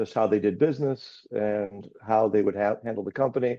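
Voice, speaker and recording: With a plain, everyday voice, a man speaks at a fairly low pitch. His pace is fairly quick and his intonation fairly even. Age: 60s. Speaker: business owner. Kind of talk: webinar panel discussion.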